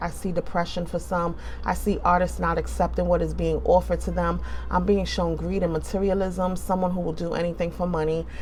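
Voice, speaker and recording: A woman with a New York accent talks at a fairly quick pace. Room echo is audible, and there is noticeable background noise. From New York City (Bronx), born in the Caribbean. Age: 40s. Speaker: tarot reader. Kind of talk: tarot reading monologue. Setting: indoors by an open window. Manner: casual, conversational.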